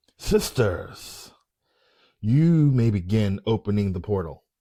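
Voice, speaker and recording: Doing a put-on character voice, a man speaks at a fairly slow pace and fairly low pitch on a very clean recording with a silent background. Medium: read story. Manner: quiet, smug and domineering.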